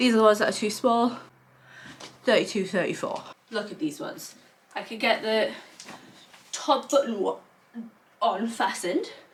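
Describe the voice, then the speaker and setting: A woman's fairly high voice with a British accent, moderate pace, ordinary pitch variation, and long, frequent pauses. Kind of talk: casual talk to camera.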